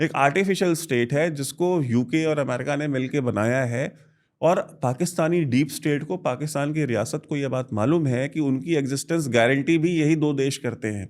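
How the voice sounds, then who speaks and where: On a very clean recording with a silent background, a man with a Bihari accent speaks in a fairly high pitch with ordinary pitch variation and hardly any pauses. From India, Varanasi (Uttar Pradesh). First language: Bhojpuri (speaking Hindi). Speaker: defence analyst. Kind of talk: interview.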